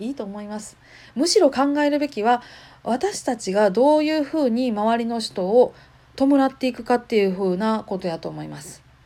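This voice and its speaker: In a very clean recording with a silent background, a woman with a dark, mellow tone talks at a fairly quick pace. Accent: Kansai. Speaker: podcaster. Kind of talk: casual monologue.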